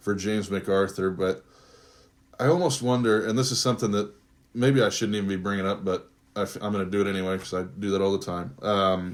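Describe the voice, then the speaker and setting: At a fairly quick pace, a man with a fairly low voice speaks with fairly even intonation. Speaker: sports podcast host. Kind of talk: casual sports talk. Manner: halting, stumbling.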